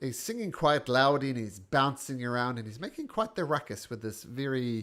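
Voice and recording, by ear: A natural voice reading aloud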